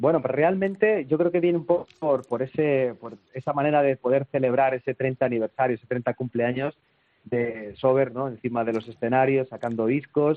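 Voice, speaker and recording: With a plain, everyday voice, a man speaks at medium pitch and a moderate pace, his pitch varying in an ordinary way. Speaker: rock musician. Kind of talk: interview.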